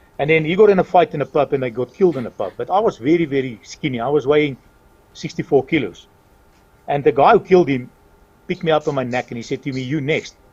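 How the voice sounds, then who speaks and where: Recorded dry and close with no echo, a man speaks very fast at a fairly high pitch, somewhat breathy, with ordinary pitch variation. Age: 60s. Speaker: retired racing driver and town mayor. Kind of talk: interview.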